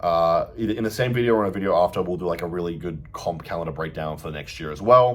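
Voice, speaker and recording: A fairly quick-paced man with an Australian accent, a very deep, low pitch, and ordinary pitch variation. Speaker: bodybuilder and fitness coach. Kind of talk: casual vlog update. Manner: casual, filler-heavy.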